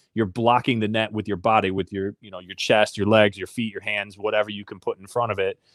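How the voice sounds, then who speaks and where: A man with an Upper Midwest accent, fairly even intonation and a fairly quick pace, on a very clean recording with a silent background. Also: dry, close sound with no echo. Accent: Upper Midwest American. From southwest Michigan, rural. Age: 30s. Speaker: Paralympic athlete. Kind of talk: interview.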